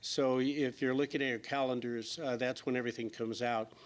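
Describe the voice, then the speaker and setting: Very fast, fairly even speech from a man at medium pitch with an American accent. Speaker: state senator. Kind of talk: panel forum remarks. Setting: public forum with audience.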